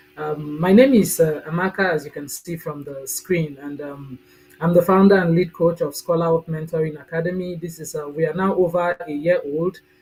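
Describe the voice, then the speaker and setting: Music plays in the background as a woman with a Nigerian accent speaks at a moderate pace. Her pitch is fairly low, her intonation fairly even, and her loudness swings widely. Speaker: mentoring coach and agricultural specialist. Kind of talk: live Q&A video chat.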